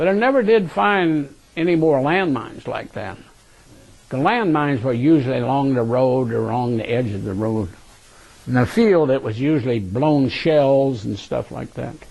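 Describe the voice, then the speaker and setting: Using an ordinary speaking voice, a man talks at a moderate pace with fairly high pitch and lively intonation. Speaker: war veteran. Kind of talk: oral history interview recollection. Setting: recorded interview.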